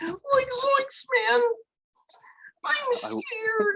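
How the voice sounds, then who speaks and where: This is a put-on character voice. It sits at an extremely high pitch. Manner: frightened, panicky.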